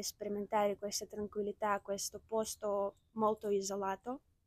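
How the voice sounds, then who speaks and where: A woman with a fairly high pitch and a dark, mellow tone is heard in a dry, close sound with no echo. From Ukraine, Kyiv. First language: Ukrainian or Russian (speaking Italian). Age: 20s. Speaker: student. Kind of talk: interview testimony. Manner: halting.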